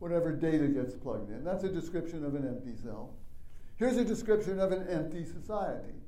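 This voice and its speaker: A man with a high pitch speaks at a very fast pace. Room echo is audible. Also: lively intonation. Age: 70s. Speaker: lecturer. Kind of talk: lecture.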